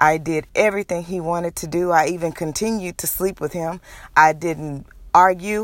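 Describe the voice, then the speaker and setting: A woman with an American accent speaks at a fairly low pitch and a moderate pace, her intonation fairly even but with big swings in loudness. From Texas, Houston. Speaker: podcaster, domestic violence survivor. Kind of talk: personal testimony monologue. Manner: hesitant, frequent fillers.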